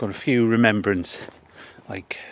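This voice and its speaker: Fairly low-pitched male speech at a moderate pace, fairly even in intonation, over noticeable background noise. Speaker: local history vlogger. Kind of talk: walking vlog narration. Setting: outdoors in a cemetery.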